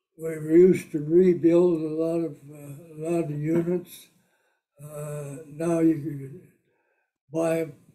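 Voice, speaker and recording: Against a quiet background, a man with a Midwestern American accent talks very slowly at a fairly high pitch, his tone dark and mellow and his intonation monotone and flat. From Britt, Iowa; Iowa. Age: 80s+. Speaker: war veteran and auto business owner; interviewee. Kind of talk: interview answer. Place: home room.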